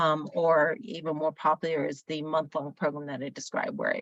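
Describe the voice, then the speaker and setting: A woman speaks in a very deep, low pitch with ordinary variation, at a fairly quick pace. The sound is dry and close, with no echo. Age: 60s. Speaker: energy healer. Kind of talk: interview. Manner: hesitant, many fillers.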